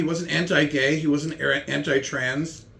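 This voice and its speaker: Vocal fry runs through this man's speech, which has ordinary pitch variation. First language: German. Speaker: comedian. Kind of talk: casual chat with comedy bits.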